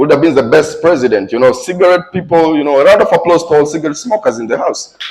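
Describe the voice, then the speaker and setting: A man's voice with lively intonation. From Tanzania. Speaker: comedian. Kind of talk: stand-up. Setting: stage with audience.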